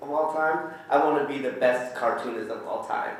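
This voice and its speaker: Amid audible room echo and noticeable background noise, a man talks at a fairly high pitch. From Vietnam. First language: Vietnamese. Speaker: graphic novelist. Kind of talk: panel discussion. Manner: animated.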